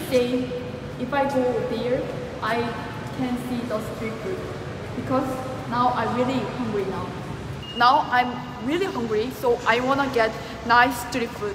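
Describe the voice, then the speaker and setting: Over noticeable background noise, a woman with a high pitch talks at a fairly slow pace with fairly even intonation and long, frequent pauses. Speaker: travel vlogger. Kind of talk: casual vlog chat. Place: station. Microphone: phone near.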